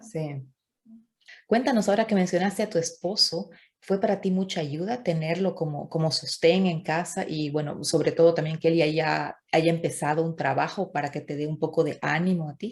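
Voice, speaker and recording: A woman's somewhat breathy voice, fairly low in pitch, at a moderate pace with ordinary pitch variation, on a very clean recording with a silent background. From Bolivia. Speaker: YouTuber interviewer. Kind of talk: interview conversation.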